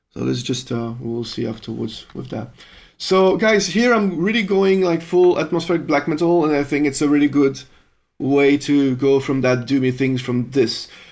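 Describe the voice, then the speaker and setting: At a moderate pace, someone with a French accent speaks with lively intonation. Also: man, fairly high pitch for a man. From Belgium (French-speaking). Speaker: musician live-streaming composition. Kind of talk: live stream chat. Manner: casual, swearing, hesitant.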